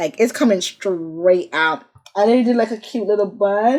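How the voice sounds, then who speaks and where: Her pace is fairly quick. This woman speaks at a medium pitch with lively intonation. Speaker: beauty vlogger. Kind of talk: casual vlog talk to camera. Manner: mumbles words sometimes; animated.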